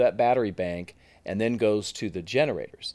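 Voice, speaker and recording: A man with an American accent and an unremarkable speaking voice talks at a fairly quick pace, his pitch fairly low with ordinary variation. The recording is very clean, with a silent background. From US West Coast (Silicon Valley, California). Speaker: tech company executive. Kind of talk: interview.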